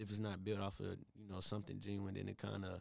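A man's fairly low voice at a very fast pace. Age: 20s. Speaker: singer. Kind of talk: casual chat.

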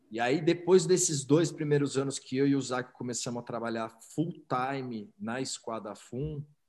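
A man talks in a normal speaking voice at medium pitch, at a moderate pace with ordinary pitch variation. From São Paulo, Brazil. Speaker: entrepreneur. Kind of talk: interview.

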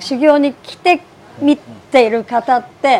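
A woman is speaking. Her pitch is high. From Niigata City, Japan. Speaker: rice ball shop owner. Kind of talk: interview.

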